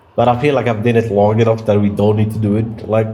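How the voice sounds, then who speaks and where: A man races through his words at a very fast pace, mid-pitched and fairly level in intonation, with noticeable background noise around him. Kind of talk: casual talk to camera. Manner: rambling, conversational.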